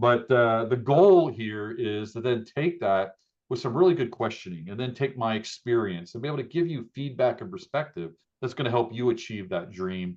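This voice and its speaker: Using a normal speaking voice, a man with an American accent talks at a moderate pace and medium pitch with lively intonation. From US Northeast, southeast Pennsylvania. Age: 60s. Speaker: business coach. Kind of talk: interview.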